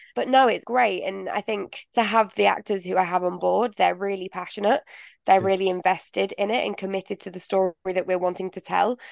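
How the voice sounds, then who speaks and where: A woman with a Mancunian accent at a fairly quick pace, fairly even in intonation, in a dry, close sound with no echo and a quiet background. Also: medium pitch for a woman. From northern England, Manchester. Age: 20s. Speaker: playwright. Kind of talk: interview. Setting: studio.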